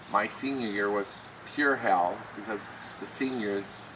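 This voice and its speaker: A man with an American accent at a fairly slow pace, amid noticeable background noise. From US Midwest, western Ohio. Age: 60s. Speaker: person with Tourette syndrome, author. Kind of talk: personal testimony. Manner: halting.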